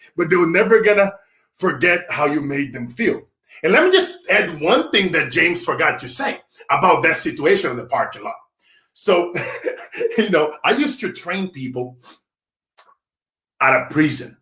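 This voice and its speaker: A man projects a raised voice with a bright, sharp tone and very wide pitch swings. His pace is moderate, broken by long, frequent pauses. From Brazil. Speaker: motivational speaker. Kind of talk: casual interview chat.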